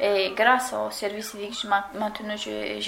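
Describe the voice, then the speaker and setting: Speech comes at a very slow pace, with noticeable background noise and audible room echo. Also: woman. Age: 20s. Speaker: former civic service volunteer. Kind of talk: recorded testimony. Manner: halting.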